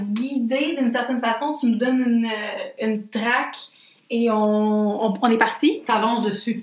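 Over noticeable background noise and audible room echo, a woman with a Quebec accent speaks at a high pitch and a fairly slow pace. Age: 20s. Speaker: podcast co-host, literature graduate. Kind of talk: casual chat.

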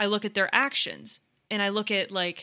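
On a very clean recording with a silent background, a woman speaks at a medium pitch in a bright, sharp tone. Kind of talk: casual chat.

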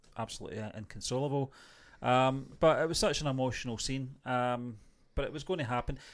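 A man speaks with an ordinary speaking voice at a medium pitch. His pace is fairly quick, with ordinary pitch variation. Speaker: TV review host. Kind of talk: casual review chat. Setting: online show, video stream.

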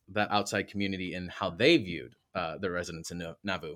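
This very clean recording has a silent background. A man speaks with an American accent. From Michigan. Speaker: history professor and podcast host. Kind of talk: interview.

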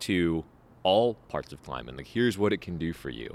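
Over a silent background in a very clean recording, a man talks fairly quickly in a very deep, low voice with vocal fry and ordinary pitch variation. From Oregon. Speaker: guest podcast host and climber. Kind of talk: casual interview. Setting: converted warehouse training center.

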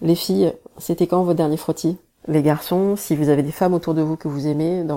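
A woman with a very deep, low pitch and a dark, mellow tone speaks at a fairly quick pace with monotone, flat intonation. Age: 30s. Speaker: social media personality sharing health story. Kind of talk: personal testimony and awareness message.

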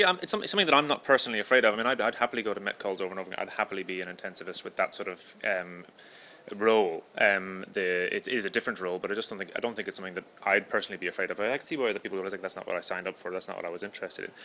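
A man speaks very fast at a fairly low pitch with ordinary pitch variation. His tone is bright and sharp. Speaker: podcast host. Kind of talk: casual interview chat.

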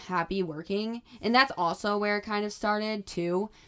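Woman with an ordinary speaking voice, moderate pace and fairly even intonation. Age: 20s. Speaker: podcast host and college student working as a restaurant server. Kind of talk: casual solo monologue.

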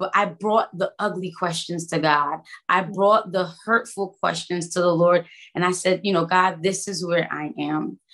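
A woman with an American accent talks in a normal speaking voice at a fairly slow pace. Her pitch is medium and her intonation fairly even. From Brooklyn, New York. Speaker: worship leader and trainer. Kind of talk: testimony.

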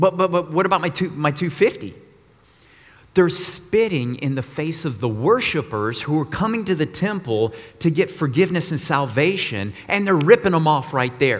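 With a normal speaking voice, a man talks at a moderate pace, his fairly high pitch rising and falling with lively intonation. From Texas, Austin. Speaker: guest preacher. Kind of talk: sermon. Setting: church.

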